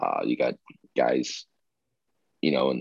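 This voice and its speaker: A man talks at a moderate pace with a dry, close sound and no echo. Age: 20s. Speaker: professional baseball player. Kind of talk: interview. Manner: halting, many fillers.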